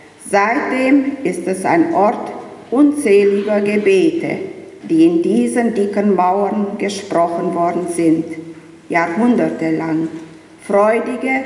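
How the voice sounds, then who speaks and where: With lively intonation at a very slow pace, the voice is heard over noticeable background noise and audible room echo. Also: woman. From Romania, Banat (Banat Swabian village near Timișoara). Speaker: vice-chair of an expatriate association. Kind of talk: formal welcome speech; interview. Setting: church.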